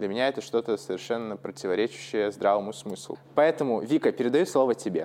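Speaking very fast with hardly any pauses, a man keeps a medium pitch and ordinary pitch variation. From Russia. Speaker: podcast host, English teacher. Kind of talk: casual chat. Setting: call.

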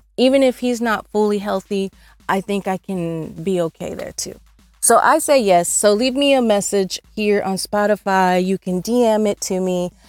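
Music plays in the background as a woman speaks at a moderate pace. Her medium-pitched voice shows ordinary pitch variation. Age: 50s. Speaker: online radio host. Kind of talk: casual chat. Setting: not in studio.

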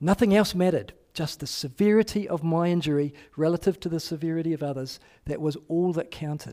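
Recorded very clean against a silent background, a man with a New Zealand accent and a high pitch talks at a fairly quick pace in a dark, mellow tone with ordinary pitch variation. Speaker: pastor. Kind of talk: sermon. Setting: church.

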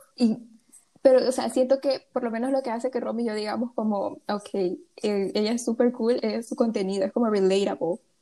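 A woman speaks at a fairly high pitch with a dark, mellow tone. Her pace is fairly quick and her intonation fairly even. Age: young. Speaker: podcast co-host. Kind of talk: casual chat.

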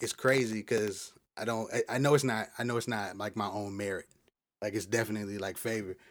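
This man talks at a fairly quick pace. His voice sits at a medium pitch. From Florida, Polk County (Lake Wales). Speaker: rapper. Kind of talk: interview. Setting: studio.

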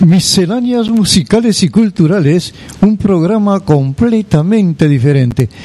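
A warm tone at a fairly slow pace, with lively intonation. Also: man, high pitch for a man. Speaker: radio host. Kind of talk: radio presenting. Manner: warm, announcer-style.

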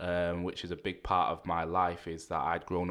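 In a Mancunian accent, a man talks at a fairly quick pace with a very deep, low pitch. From Manchester, England (Rusholme). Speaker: youth worker. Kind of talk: podcast interview.

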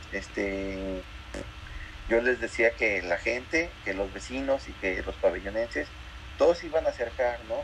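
A man talks at a fairly slow pace, with long, frequent pauses. Noticeable background noise runs behind him. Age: 30s. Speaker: muralist artist. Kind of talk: interview. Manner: halting, many fillers and repetitions.

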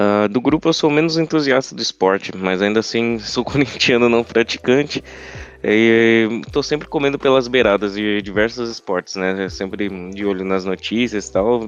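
Speaking at a moderate pace, a man has a normal speaking voice, medium in pitch with ordinary pitch variation. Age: 20s. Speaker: podcast co-host, journalism student. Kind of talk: casual chat.

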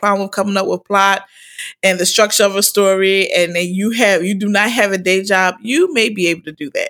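A woman's medium-pitched voice with an American accent, fairly even intonation, a moderate pace, and a very clean recording with a silent background. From Philadelphia. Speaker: podcast host, school principal. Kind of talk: casual monologue.

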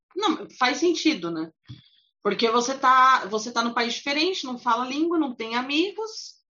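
A woman with a high-pitched voice. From São Paulo, Brazil. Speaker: podcast host. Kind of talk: casual interview chat.

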